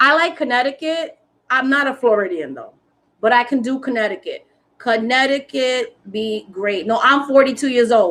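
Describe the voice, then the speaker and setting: In a New York accent, a woman with a high pitch talks at a moderate pace with ordinary pitch variation. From New York City, South Bronx. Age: 40s. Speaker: spiritual content creator. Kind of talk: casual chat. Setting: live stream. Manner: animated.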